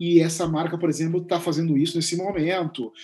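Speaking at a fairly quick pace, a man with a fairly high pitch has an unremarkable speaking voice. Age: 40s. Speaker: writer and content creator. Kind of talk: interview conversation.

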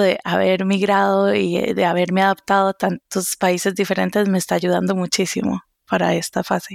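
At a moderate pace and very even loudness, the voice sounds dry and close with no echo in a very clean recording against a silent background. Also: woman. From Costa Rica. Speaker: research scientist. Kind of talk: casual conversation.

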